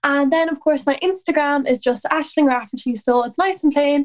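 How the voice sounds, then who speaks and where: A woman in an Irish accent at a fairly quick pace. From Ireland. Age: 20s. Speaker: country singer. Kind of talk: casual interview chat.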